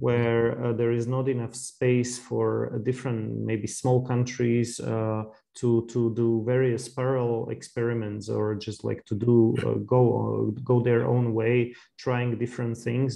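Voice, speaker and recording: A man with a Slovak accent at a medium pitch, fairly slow and monotone, with hardly any pauses. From Slovakia. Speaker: podcast host. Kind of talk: interview conversation. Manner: halting, many fillers.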